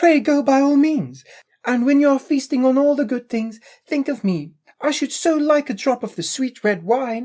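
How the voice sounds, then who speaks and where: High pitch and a moderate pace in a put-on character voice. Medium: read story. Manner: gentle, polite.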